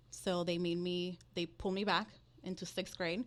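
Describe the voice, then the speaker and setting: With a Dominican accent, a woman speaks at a moderate pace and medium pitch, varying it in an ordinary way. The recording is very clean, with a silent background. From Dominican Republic, then Florida from age ten. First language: Spanish. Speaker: loan originator, mortgage business. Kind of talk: podcast interview.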